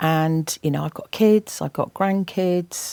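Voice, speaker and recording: Heard in a dry, close sound with no echo, a woman with an English accent speaks in a fairly low pitch with a dark, mellow tone. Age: 60s. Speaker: environmental campaigner and TV presenter. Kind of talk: interview.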